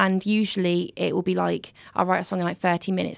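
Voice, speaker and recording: A woman talks at a very fast pace. The recording is very clean, with a silent background. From Derbyshire, England. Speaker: singer-songwriter. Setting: studio.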